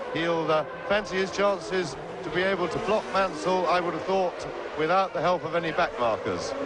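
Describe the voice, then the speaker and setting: A high-pitched man in a relaxed tone at a moderate pace, with fairly even intonation, hardly any pauses and noticeable background noise. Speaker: motor racing co-commentator. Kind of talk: live sports commentary. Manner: relaxed, conversational, analytical.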